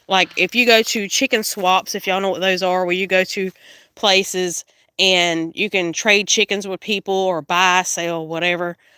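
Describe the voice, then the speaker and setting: An American accent marks this woman's medium-pitched voice. She talks at a moderate pace with fairly even intonation. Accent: Southern accent, noticed by viewers. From South Carolina. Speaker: homesteader. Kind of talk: casual livestream tour.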